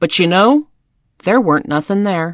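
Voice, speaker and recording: In a put-on character voice, a woman speaks at a medium pitch on a very clean recording with a silent background and a dry, close sound with no echo. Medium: solo performance. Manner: grave, thoughtful.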